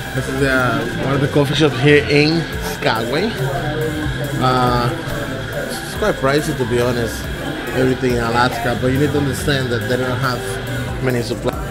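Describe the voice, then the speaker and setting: Loud music plays in the background as a man speaks at a moderate pace. He leaves long, frequent pauses. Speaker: travel vlogger. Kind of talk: casual vlog chat. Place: cafe. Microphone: phone near.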